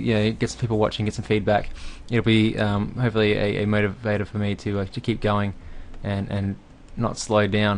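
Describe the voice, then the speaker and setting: With an Australian accent, a man talks at a fairly quick pace in a fairly low pitch. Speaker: game developer. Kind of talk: tutorial. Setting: home recording at night. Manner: fast; hesitant, many fillers.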